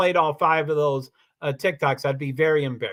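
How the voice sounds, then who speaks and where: A man with a bright, sharp tone is heard in a very clean recording with a silent background. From Kentucky (Louisville). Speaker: live streamer. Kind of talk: casual livestream monologue. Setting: livestream. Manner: repeats words, frequent fillers and restarts; rambling, talkative.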